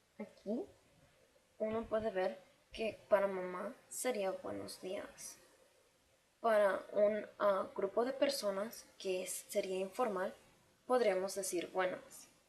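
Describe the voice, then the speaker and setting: A woman of medium pitch with ordinary pitch variation, a very slow pace and long, frequent pauses. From Mexico City, later Chicago. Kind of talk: class presentation.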